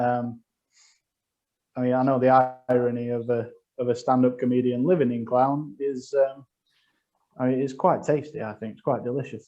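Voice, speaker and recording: A man's medium-pitched voice, dark and mellow in tone, with monotone, flat intonation, a moderate pace, long and frequent pauses, and big swings in loudness. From northern England, Sheffield. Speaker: comedian. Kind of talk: stand-up. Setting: video call.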